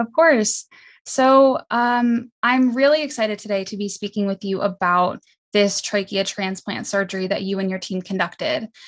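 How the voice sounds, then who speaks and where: A woman speaks in a normal speaking voice, medium in pitch with ordinary pitch variation, in a dry, close sound with no echo. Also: moderate pace. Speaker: podcast host, medical student. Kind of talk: interview; scripted introduction.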